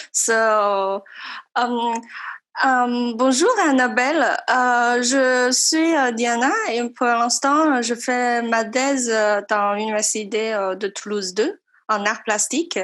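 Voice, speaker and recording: In a French accent, a woman speaks very slowly at a high pitch, with ordinary pitch variation and very even loudness. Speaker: doctoral student. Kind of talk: audience question. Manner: halting.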